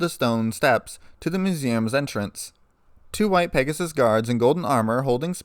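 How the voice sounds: Intonation rises and falls with energy in this natural reading voice.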